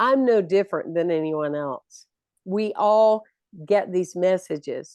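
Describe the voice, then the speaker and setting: A woman's normal speaking voice, medium in pitch, with an American accent, fairly slow pace and lively intonation. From US South, South Carolina. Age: 60s. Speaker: minister and motivational speaker. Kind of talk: interview.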